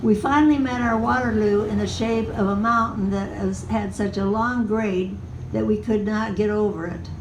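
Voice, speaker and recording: Noticeable background noise runs behind the clip. A woman talks over it at a moderate pace. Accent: American. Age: 80s+. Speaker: storyteller. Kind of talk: live personal storytelling.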